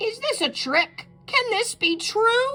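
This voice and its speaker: Faint music plays in the background. A woman uses a squeaky, put-on character voice at a fairly slow pace. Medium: read story.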